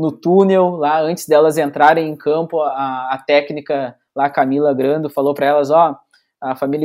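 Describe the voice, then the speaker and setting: On a very clean recording with a silent background, a fairly high-pitched man talks at a moderate pace in a monotone, flat intonation. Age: 20s. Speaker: sports photojournalist. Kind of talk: casual interview chat.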